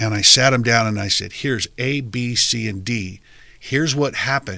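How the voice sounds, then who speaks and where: A loud man's voice at medium pitch, with a bright, sharp tone, moderate pace and ordinary pitch variation. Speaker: podcast host. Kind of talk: interview conversation. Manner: animated.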